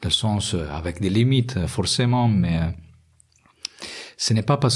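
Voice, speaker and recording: A man speaks with an Italian accent. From Italy. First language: Italian (speaking French). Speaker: industrial research engineer. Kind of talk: interview. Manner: halting, many hesitations.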